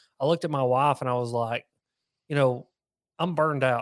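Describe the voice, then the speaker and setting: A man with a Southern US accent talks at a fairly quick pace, his pitch medium and his intonation fairly even. The recording is very clean with a silent background, and the sound is dry and close with no echo. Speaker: fishing YouTuber. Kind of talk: casual interview chat.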